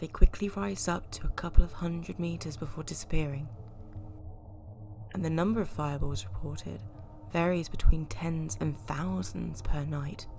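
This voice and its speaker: Over music in the background, a woman with a very deep, low pitch speaks at a moderate pace, her pitch swinging very widely and her loudness swinging a lot. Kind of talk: folklore narration.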